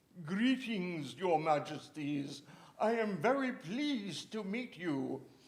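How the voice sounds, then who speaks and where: Using a put-on character voice pitched high, a man speaks at a fairly slow pace. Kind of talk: polite greeting to royalty.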